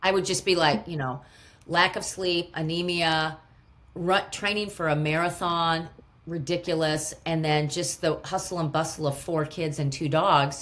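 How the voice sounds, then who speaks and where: A woman with a plain, everyday voice speaks at a fairly low pitch, her intonation fairly even. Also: fairly slow pace. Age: 50s. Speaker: gut health expert. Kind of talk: podcast interview answer.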